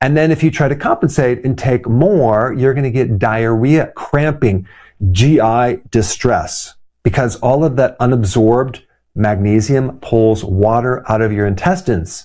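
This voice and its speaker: A man's medium-pitched voice, dark and mellow in tone, moves at a fairly slow pace with very even loudness and ordinary pitch variation. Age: 60s. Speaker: chiropractor. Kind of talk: health explainer talk to camera.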